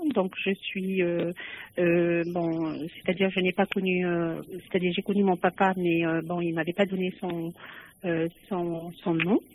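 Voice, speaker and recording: A woman with a fairly low pitch speaks at a very slow pace in a monotone, flat intonation, leaving long, frequent pauses. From Algeria. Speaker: caller. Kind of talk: phone-in call. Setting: phone call.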